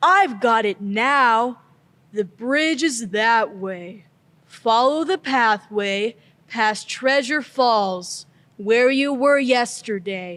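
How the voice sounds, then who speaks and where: In a very clean recording with a silent background, a female-sounding put-on character voice with a fairly high pitch talks at a very slow pace. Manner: slow, drowsy.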